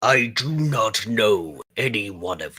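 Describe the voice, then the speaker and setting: A man puts on a growling character voice at medium pitch and a fairly slow pace. The sound is dry and close, with no echo. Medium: actual play. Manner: stern, measured.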